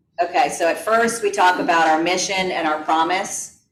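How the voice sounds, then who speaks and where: Amid audible room echo, a woman speaks at a moderate pace with fairly even intonation. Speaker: real estate team lead teaching a class. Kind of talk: class presentation.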